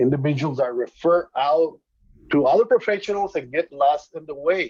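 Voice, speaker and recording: A man's fairly high voice in a Spanish accent, lively in intonation and at a moderate pace. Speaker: student entrepreneur pitching. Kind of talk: business pitch.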